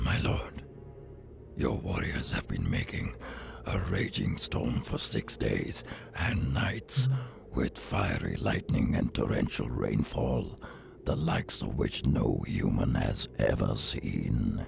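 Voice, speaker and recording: Through clear background noise, a man performs a cartoonish character voice at a fairly slow pace with a very deep, low pitch. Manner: formal, grave.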